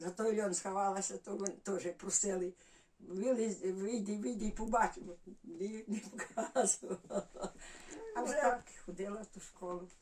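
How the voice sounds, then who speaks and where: Speaking at a fairly slow pace, a woman with a Volhynian accent uses ordinary pitch variation. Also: medium pitch for a woman. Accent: Volhynian Ukrainian village dialect. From Volyn, northwestern Ukraine (village near Kovel). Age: 80s+. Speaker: village resident. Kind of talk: dialect interview, life story. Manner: halting, many fillers.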